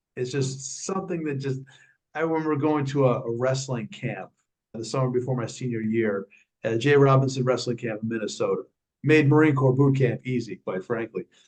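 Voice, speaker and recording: A man with a New York accent, somewhat breathy, at a medium pitch and fairly quick pace, with ordinary pitch variation. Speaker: speaking and fitness coach, former Marine. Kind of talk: interview.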